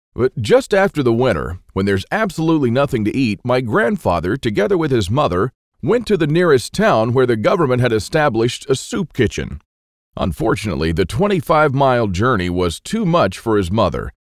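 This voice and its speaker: A man with a medium pitch and vocal fry talks at a fairly quick pace with very wide pitch swings, in a dry, close sound with no echo on a very clean recording with a silent background. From Texas. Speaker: survival author. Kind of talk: sales pitch.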